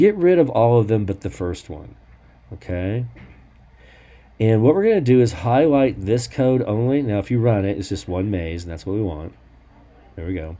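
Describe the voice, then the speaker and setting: Dark and mellow in tone, a man speaks at a fairly low pitch and moderate pace with lively intonation. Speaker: programming teacher. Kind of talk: tutorial.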